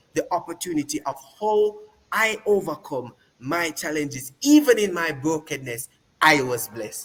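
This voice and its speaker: The man uses a raised, projected voice. His pace is moderate. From Jamaica, Montego Bay. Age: 20s. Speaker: interview guest sharing testimony. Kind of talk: testimony.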